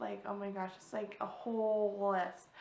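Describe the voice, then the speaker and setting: A woman talks at a moderate pace, her voice echoing audibly off the room. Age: 30s. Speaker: vlogger. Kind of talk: personal vlog talk. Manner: halting.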